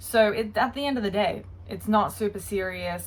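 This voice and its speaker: An Australian-accented woman at a moderate pace, medium in pitch and somewhat breathy. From Australia, Brisbane area. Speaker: YouTuber. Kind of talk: casual commentary video.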